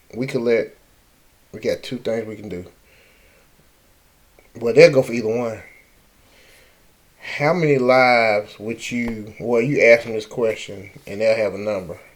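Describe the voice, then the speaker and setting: With a New Orleans accent, a man talks at a fairly slow pace with long, frequent pauses, ordinary pitch variation and big swings in loudness. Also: medium pitch for a man. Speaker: political commentator. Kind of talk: casual talk to camera.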